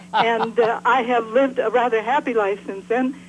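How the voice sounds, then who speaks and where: A woman with a fairly high pitch talks as noticeable background noise carries on behind her. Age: 80s+. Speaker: caller. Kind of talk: call-in conversation.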